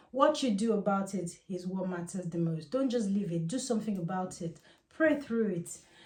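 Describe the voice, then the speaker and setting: Somewhat breathy, a woman speaks at medium pitch. Her intonation is lively, and her pace is moderate. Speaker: Ifa priestess and spiritual teacher. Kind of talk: casual spiritual advice monologue.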